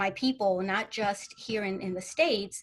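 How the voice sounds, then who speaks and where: Speaking in a Spanish accent, a woman talks at a fairly slow pace with ordinary pitch variation. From California, Central Valley and LA County (born Mexico). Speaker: panelist. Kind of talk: panel discussion. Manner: halting, many fillers.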